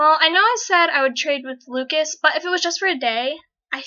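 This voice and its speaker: Fairly quick speech from a woman, ordinary pitch variation throughout. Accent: American. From United States. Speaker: fan vlogger. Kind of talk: casual Q&A vlog. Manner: fast; rambling.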